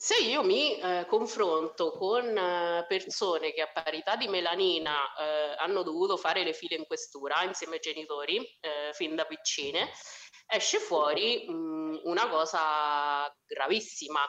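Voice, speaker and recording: A woman with a strong Umbrian accent, fairly low pitch, ordinary pitch variation and a fairly slow pace. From Umbria, Italy (Spello, near Assisi). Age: 30s. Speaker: social worker. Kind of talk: casual chat.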